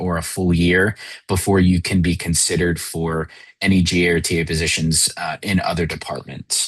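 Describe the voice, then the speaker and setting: Moving at a fairly quick pace, a man speaks in a very deep, low voice with monotone, flat intonation. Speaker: university admissions officer. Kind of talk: online information session presentation. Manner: fast.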